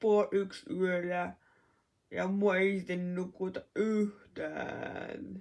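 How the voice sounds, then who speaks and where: A woman talking at a very slow pace. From Finland, Kuopio (Northern Savo). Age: 20s. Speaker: vlogger. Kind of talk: casual vlog talk.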